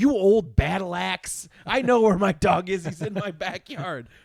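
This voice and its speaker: Putting on a character voice, a man speaks at a moderate pace in a raised, projected voice with a high pitch. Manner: insulting, scornful.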